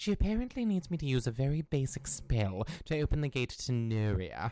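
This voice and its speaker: At a fairly quick pace, this put-on character voice sits at a low-to-middle pitch in a very clean recording with a silent background. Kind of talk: comedy audio drama. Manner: fussy, anxious, polite.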